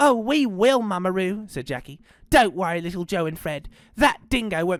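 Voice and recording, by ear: This is reading aloud in a natural voice, with lively intonation.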